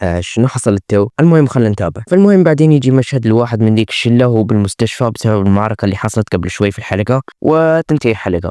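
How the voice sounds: A man speaks at a very fast pace with lively intonation, his fairly low voice both dark and mellow as well as clear and smooth, in a dry, close sound with no echo. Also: few pauses.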